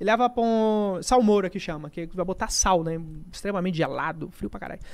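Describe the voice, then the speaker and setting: A man with a high pitch for a man, talking at a fairly quick pace. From Brazil, Rondônia. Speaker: gaming content creator. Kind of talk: casual chat. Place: studio. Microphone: studio mic.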